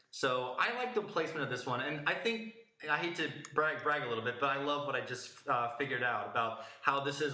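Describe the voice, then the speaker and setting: A man speaks at a fairly quick pace, his voice carrying audible room echo over noticeable background noise. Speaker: music podcast host. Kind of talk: casual review discussion. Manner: halting, self-correcting.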